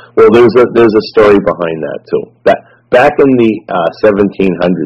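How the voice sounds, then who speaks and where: This man speaks with a Boston accent. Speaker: activist guest. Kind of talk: casual interview chat. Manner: halting, repeats words.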